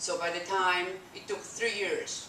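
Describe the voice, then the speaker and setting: A woman in a Polish accent, with audible room echo and noticeable background noise. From Poland. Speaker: immigrant sharing life story. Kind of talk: testimony. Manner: halting; animated.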